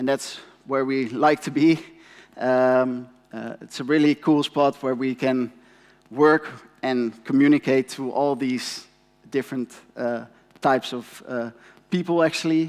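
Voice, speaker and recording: A man with a Dutch accent at medium pitch and a fairly slow pace, with long, frequent pauses and fairly even intonation. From Netherlands. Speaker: company representative, conference speaker. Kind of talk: conference presentation. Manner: halting, many fillers.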